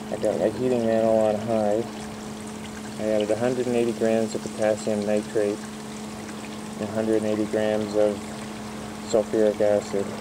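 Fairly slow delivery broken by long, frequent pauses, with noticeable background noise. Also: man. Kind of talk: casual tutorial narration. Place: garden. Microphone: phone near.

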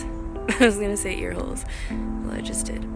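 Loud music plays behind a woman speaking at a moderate pace, the sound dry with no echo. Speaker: voice over artist. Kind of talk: casual talk to camera. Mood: warm, grateful, playful. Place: street. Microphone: phone near.

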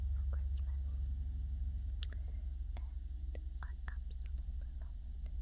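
The woman's speech moves at a fairly slow pace. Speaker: ASMR creator. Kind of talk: ASMR puzzle sorting. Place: home room. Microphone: phone near.

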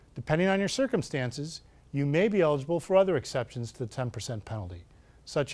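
Pitch swinging very widely, a man talks at a fairly quick pace. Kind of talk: scripted TV tip segment. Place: studio.

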